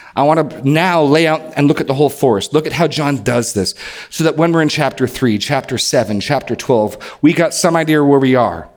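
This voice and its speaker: Through noticeable background noise, a man with an American accent talks at a fairly quick pace with hardly any pauses. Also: fairly high pitch for a man, ordinary pitch variation. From New Hampshire, US Northeast. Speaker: pastor. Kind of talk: sermon.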